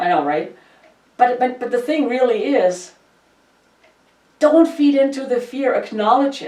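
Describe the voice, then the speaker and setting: With a German accent, a woman speaks at a moderate pace in a high pitch that swings very widely. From Germany. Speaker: podcast host. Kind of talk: casual chat. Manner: animated.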